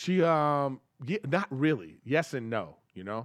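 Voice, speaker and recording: With lively intonation and a fairly high pitch, a man talks in a plain, everyday voice that sounds dry and close with no echo. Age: 50s. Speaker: comedian and podcaster. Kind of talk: casual chat.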